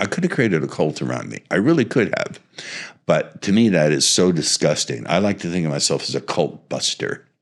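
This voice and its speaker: In a very deep, low voice with vocal fry, a man speaks fairly quickly with very wide pitch swings. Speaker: seduction and hypnosis coach. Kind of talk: interview. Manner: purposeful, no verbal pauses.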